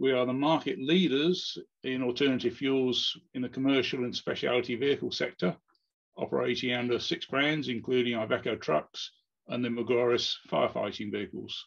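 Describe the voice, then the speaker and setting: Quiet background, with a man talking at a moderate pace and ordinary pitch variation. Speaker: presenter. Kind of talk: conference presentation. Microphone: webcam.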